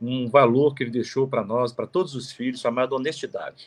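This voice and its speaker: A man speaks at a medium pitch. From Minas Gerais, Zona da Mata (Manhumirim). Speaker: lawyer. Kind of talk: interview, life story. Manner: halting, many fillers.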